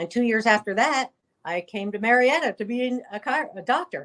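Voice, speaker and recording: A woman in a normal speaking voice with an American accent, fairly high in pitch with ordinary pitch variation, at a moderate pace, in a dry, close sound with no echo. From New Jersey. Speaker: chiropractor. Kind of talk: interview.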